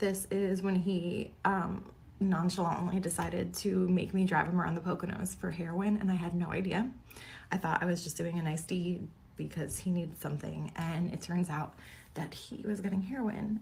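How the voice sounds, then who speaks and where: Over light background noise, a woman does a put-on character voice that is raspy and fairly low, with fairly even intonation and a moderate pace. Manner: upset, recounting a difficult memory.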